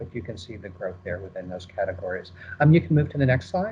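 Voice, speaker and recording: A man talks with an American accent. His voice is somewhat breathy. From United States. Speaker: market research presenter. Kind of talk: webinar presentation. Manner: fast; hesitant, many fillers.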